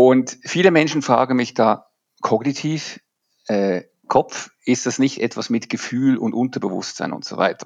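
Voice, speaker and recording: This man has an unremarkable speaking voice, talking at a fairly slow pace and medium pitch with ordinary pitch variation. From Switzerland. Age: 50s. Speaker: leadership coach. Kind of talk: podcast interview.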